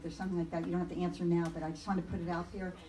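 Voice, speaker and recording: The recording of a woman has noticeable background noise and audible room echo. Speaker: public commenter, race organizer. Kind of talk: public comment at council meeting. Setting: city council meeting. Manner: fast.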